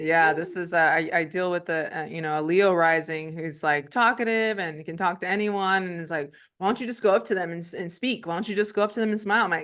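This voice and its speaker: Against a quiet background, a woman talks at a very fast pace with hardly any pauses and big swings in loudness. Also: fairly low pitch for a woman, ordinary pitch variation. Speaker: astrologer. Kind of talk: casual chat.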